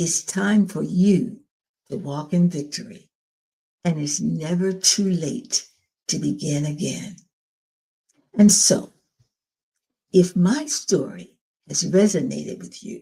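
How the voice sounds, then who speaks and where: At a very slow pace, a woman speaks with long, frequent pauses and vocal fry. Her fairly low voice has a dark, mellow tone and ordinary pitch variation. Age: 80s+. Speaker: domestic abuse survivor and channel host. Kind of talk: personal testimony and encouragement.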